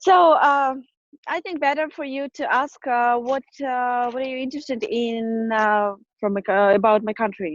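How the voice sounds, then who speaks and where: Her intonation is lively and her pitch high. A woman speaks at a moderate pace. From Kyrgyzstan. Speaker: student. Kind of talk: casual interview. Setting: video call, outdoors. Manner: halting, many fillers.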